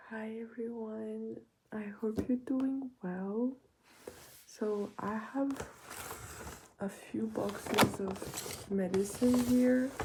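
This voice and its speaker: Very slow speech with long, frequent pauses and fairly even intonation, over noticeable background noise. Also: woman, fairly high pitch for a woman. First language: French. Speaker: ASMR creator. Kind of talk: casual chat. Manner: soft-spoken.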